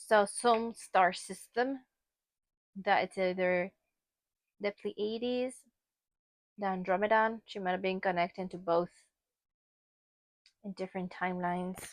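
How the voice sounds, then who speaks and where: Using a Spanish accent, a woman speaks in a medium pitch at a fairly slow pace with fairly even intonation and long, frequent pauses, the sound dry and close with no echo. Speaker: tarot reader. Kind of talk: tarot card reading. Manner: casual, conversational.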